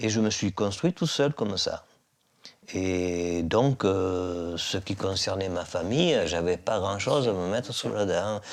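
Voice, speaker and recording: A man's very slow speech keeps ordinary pitch variation. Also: fairly low pitch for a man. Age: 70s. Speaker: heir. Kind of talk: testimony.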